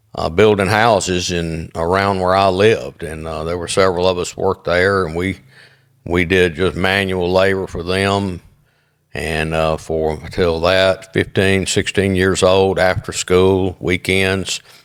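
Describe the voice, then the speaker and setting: The man's voice sits very deep and low, delivered at a fairly slow pace in a flat monotone. The recording is very clean with a silent background. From US South (Jackson, Mississippi). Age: 60s. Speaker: business owner and author. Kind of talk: interview. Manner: halting, many fillers.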